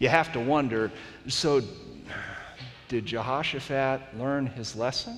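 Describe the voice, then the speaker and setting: Animated, dramatic delivery at a fairly slow pace, with long, frequent pauses and light background noise. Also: man. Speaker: pastor. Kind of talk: sermon. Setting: stage with audience. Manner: animated, storytelling, with humor and dramatic retelling. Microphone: headset.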